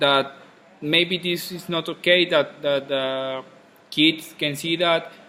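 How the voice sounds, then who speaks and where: A man speaks at a very slow pace. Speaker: student. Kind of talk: class discussion in English. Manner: halting.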